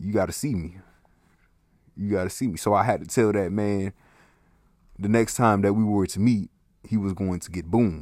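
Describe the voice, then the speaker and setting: A man speaks in an animated tone at a fairly low pitch. His pauses are long and frequent. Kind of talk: angry rant. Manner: loud, indignant, fast and heated, with sarcastic asides; animated, profane, comedic exaggeration.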